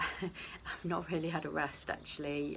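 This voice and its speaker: Soft-spoken, a woman with a British accent talks in a monotone, flat way with vocal fry. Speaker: vlogger. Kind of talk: casual vlog chat. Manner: hesitant.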